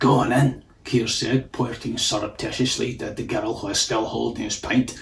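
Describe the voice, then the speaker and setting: The man's voice has vocal fry. His intonation stays monotone and flat. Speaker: author reading own story. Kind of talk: audiobook narration of a story.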